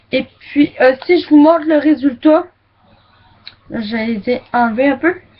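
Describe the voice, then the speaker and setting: A woman's high-pitched voice at a very slow pace, broken by long, frequent pauses. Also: ordinary pitch variation. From Quebec. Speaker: beauty vlogger. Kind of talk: makeup product review. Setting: webcam recording. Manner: casual, hesitant.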